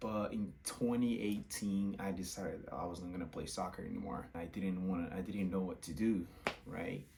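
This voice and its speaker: With audible room echo around him, a man speaks in a very deep, low pitch. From Brazil. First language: Portuguese. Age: 20s. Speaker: content creator, former college soccer player. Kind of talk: casual vlog testimony.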